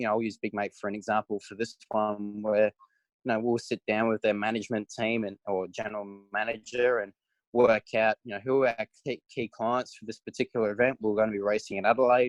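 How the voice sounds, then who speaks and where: A man's medium-pitched, monotone, flat delivery at a very fast pace, dry and close with no echo. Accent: Australian. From South Australia. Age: 20s. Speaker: racing driver. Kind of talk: interview answer.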